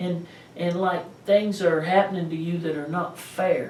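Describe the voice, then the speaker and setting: Noticeable background noise and audible room echo around a man speaking at a fairly slow pace with a slight East Tennessee accent. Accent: slight East Tennessee Southern. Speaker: pastor. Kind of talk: sermon. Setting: pastor's office.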